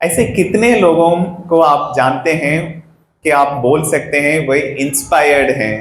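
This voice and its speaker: A man speaks with a non-native accent at a fairly high pitch. Room echo is audible. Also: ordinary pitch variation. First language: not Hindi (speaking Hindi). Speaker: parenting workshop speaker. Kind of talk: workshop talk to parents. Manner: mixes Hindi and English; interactive, asks audience questions.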